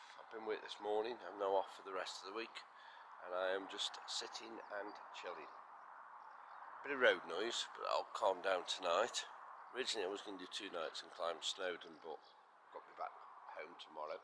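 Big jumps in volume at a moderate pace, with long, frequent pauses over noticeable background noise. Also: man. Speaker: camper vlogger. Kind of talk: casual vlog chat. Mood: relaxed, content. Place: open country. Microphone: phone near.

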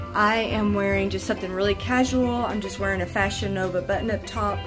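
Clear music plays behind a woman speaking at a moderate pace. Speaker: fashion vlogger. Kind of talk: casual vlog chat. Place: home room. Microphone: phone near.

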